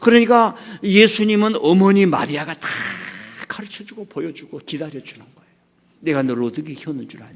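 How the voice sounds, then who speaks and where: A man speaks at a high pitch and a fairly quick pace. His speech has long, frequent pauses. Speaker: pastor. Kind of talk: sermon. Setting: church. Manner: animated; halting.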